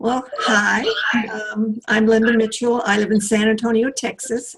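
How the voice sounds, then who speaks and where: Her voice is somewhat breathy. The woman speaks at a fairly high pitch. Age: 70s. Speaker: retired computer professional, spiritual seeker. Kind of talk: casual interview chat. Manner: halting, many fillers and restarts.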